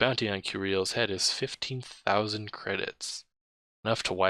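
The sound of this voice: This is an unforced reading voice. The background is quiet.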